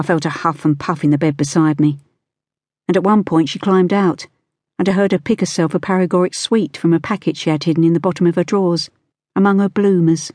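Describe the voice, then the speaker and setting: Over a quiet background, a woman speaks at a fairly quick pace in a dramatic, dark, mellow tone with fairly even intonation, very even loudness, and a dry, close sound with no echo. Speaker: audiobook narrator. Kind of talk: audiobook narration, first-person, in character as a child. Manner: dramatic, storytelling with a child's voice and an old Nan voice.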